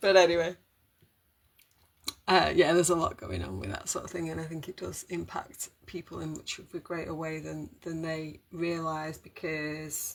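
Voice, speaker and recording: A British accent marks the speech. It moves along at a moderate pace. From Britain. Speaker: holistic wellbeing live streamer. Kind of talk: casual live stream monologue. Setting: live stream. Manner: rambling, hesitant with fillers.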